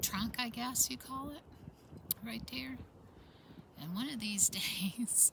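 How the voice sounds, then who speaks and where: Noticeable background noise sits under a woman speaking very slowly in a fairly high pitch, with long, frequent pauses. Her tone is relaxed, and her loudness swings widely. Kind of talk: casual talk to camera. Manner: relaxed, rambling.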